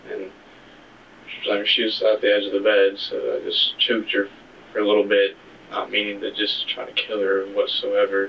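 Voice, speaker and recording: A soft-spoken man talks at a moderate pace. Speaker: suspect in interrogation. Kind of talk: police interrogation. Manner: halting.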